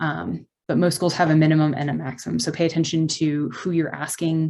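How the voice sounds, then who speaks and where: Speaking with an American accent, a woman has a very deep, low pitch. Her pace is fairly quick and her intonation fairly even. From Texas. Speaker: medical student presenter. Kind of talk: informational presentation. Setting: video call. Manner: fast.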